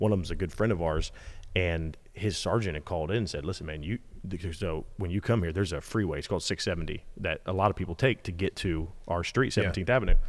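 With a very deep, low pitch and ordinary pitch variation, a man speaks at a very fast pace. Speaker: podcast host. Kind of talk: casual podcast conversation. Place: garage. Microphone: studio mic.

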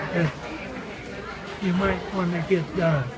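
A man's voice is heard over loud background noise. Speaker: restaurant worker, former dairy farmer. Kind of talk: interview answer. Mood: warm, fond. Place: cafe.

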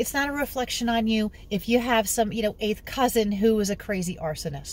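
With an American accent, a woman talks at a moderate pace in a fairly high, somewhat breathy voice, the sound dry with no echo. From New York City. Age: 50s. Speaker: genealogy hobbyist vlogger. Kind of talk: casual vlog tutorial. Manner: animated. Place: car. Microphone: phone near.

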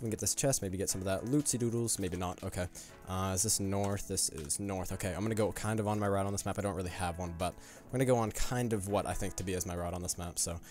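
A man's very fast, fairly low voice with fairly even intonation and hardly any pauses, dry with no echo, over faint background music. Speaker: gaming YouTuber. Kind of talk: gameplay commentary. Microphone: studio mic.

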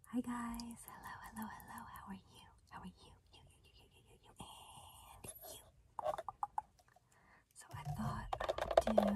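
Over loud background noise, a woman speaks with long, frequent pauses. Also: fairly slow pace. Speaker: ASMR creator. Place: car. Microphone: phone near.

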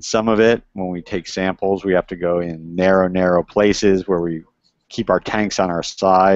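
Against a quiet background, a man talks at a moderate pace in a very deep, low pitch with monotone, flat intonation and a dry sound with no echo. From US, Miami Beach, Florida; Florida. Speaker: cave diver and environmental anthropologist. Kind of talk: educational talk to school classes. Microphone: earbuds.

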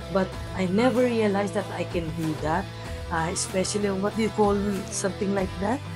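A woman talks at a moderate pace while clear music plays behind her. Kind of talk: interview answer. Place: gym. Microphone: lapel.

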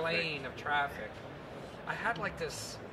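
A man speaks in an American accent. Loud background noise fills the recording. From New York, Long Island. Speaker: gunsmith and TV host. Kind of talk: interview answer. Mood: animated, humorous storytelling. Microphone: handheld.

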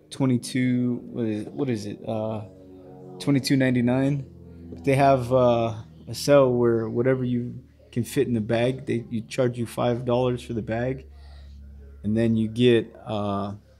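A man's very slow speech with long, frequent pauses and fairly even intonation, music in the background. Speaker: toy reviewer. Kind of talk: casual review chat. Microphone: phone near.

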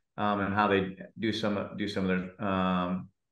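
Audible room echo fills the space around a man's voice. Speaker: head football coach. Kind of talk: interview answer. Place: office. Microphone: video call.

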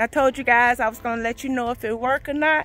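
A woman at a very fast pace, dry sound without echo, faint music behind her. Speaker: gardening vlogger. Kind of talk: casual vlog chat. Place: garden. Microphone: phone near.

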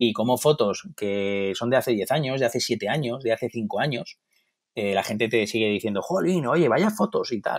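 A man talks at a moderate pace in a medium-pitched voice. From Madrid, Spain. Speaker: photographer. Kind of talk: interview. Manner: hesitant, with many fillers.

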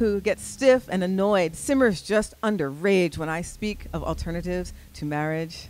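A woman speaks in an ordinary speaking voice at a medium pitch. She keeps a moderate pace with hardly any pauses. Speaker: spoken word poet. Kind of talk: spoken word poetry performance. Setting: live stage.

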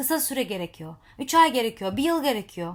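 A woman's somewhat breathy voice at a moderate pace with very wide pitch swings, on a very clean recording with a silent background. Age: 30s. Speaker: life coach and social media vlogger. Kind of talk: motivational monologue to camera.

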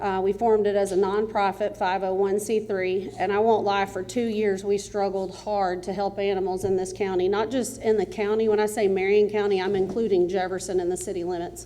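With a Texas accent, a woman talks at a fairly quick pace in a medium pitch and monotone, flat intonation, with noticeable background noise and audible room echo. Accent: Texas Southern. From East Texas. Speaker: animal rescue volunteer. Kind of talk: public comment at council meeting. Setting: city council meeting, at microphone. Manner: loud.

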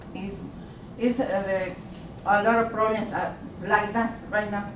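Amid noticeable background noise and audible room echo, a woman speaks fairly slowly at a fairly high pitch in a flat monotone. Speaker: resident speaking at a city council meeting. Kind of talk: public comment. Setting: city council meeting at city hall. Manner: halting.

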